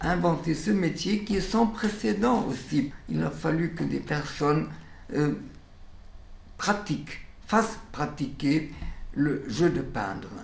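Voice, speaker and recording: Amid audible room echo, a man with vocal fry speaks very slowly in a fairly high voice, with long, frequent pauses. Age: 90s. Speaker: educator, founder of a children's painting studio; educator. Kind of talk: documentary interview monologue.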